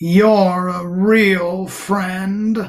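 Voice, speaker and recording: Someone uses a put-on character voice at a middle pitch, with monotone, flat intonation. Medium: read story. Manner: gloomy, slow.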